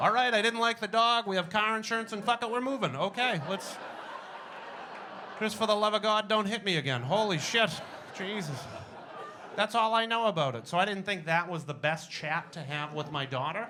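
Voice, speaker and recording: A man's high-pitched, raised and projected voice with a Boston accent, fairly quick pace, long and frequent pauses, lively intonation, and noticeable background noise. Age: 40s. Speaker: stand-up comedian. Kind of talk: stand-up. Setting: stage with audience.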